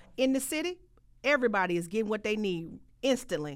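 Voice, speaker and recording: Talking at a very fast pace in a Southern US accent, a woman uses a fairly high pitch with very wide pitch swings. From US South, rural Mississippi. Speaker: trucking business owner. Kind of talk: interview.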